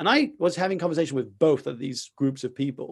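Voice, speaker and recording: A man talks in an animated tone with vocal fry. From France. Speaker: entrepreneur and speaker. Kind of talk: interview conversation. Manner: halting.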